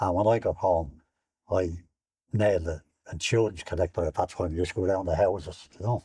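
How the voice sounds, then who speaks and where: Speaking very fast with a very deep, low pitch, a man with an Irish accent has a dark, mellow, somewhat breathy tone and fairly even intonation. He leaves long, frequent pauses against a quiet background. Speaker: war veteran. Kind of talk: interview. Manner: halting.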